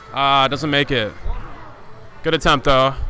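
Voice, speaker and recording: With music in the background, a man with a fairly high pitch talks at a moderate pace and fairly even intonation. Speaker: student radio play-by-play commentator. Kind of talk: live commentary. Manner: loud.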